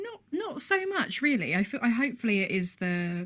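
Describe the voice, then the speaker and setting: A somewhat breathy woman's voice with a British accent, on a very clean recording with a silent background. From UK. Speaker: playwright. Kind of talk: radio interview.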